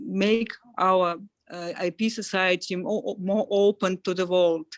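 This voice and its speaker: A woman speaks very slowly in a Russian accent at medium pitch. Her intonation is fairly even, and the sound is dry and close with no echo. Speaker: event organizer. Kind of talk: closing remarks. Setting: video call. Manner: halting.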